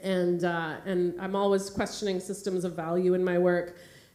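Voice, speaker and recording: In a Canadian accent, a woman with a fairly low pitch and a dark, mellow tone speaks amid audible room echo. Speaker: artist and curator. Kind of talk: keynote talk with slides. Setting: theatre stage with audience. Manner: fast; hesitant, many fillers.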